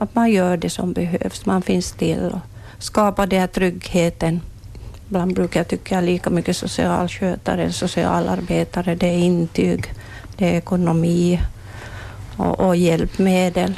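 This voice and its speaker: The speech moves at a fairly slow pace and stays at a very even loudness throughout. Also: woman. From Ostrobothnia, Finland (Swedish-speaking). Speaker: retiring palliative care nurse. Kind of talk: interview. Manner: halting, repeats words.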